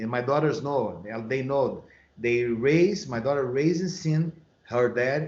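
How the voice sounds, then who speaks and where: Lively intonation in a Brazilian Portuguese accent. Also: man. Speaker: MMA and boxing coach. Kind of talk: podcast interview.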